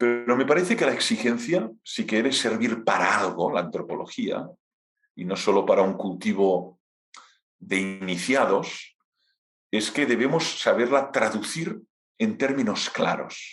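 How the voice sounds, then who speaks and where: In a Catalan accent, a man speaks fairly slowly with lively intonation, and audible room echo surrounds his voice. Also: medium pitch for a man. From Catalonia, Spain. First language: Catalan (speaking Spanish). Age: 50s. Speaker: philosophy professor. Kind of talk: lecture Q&A.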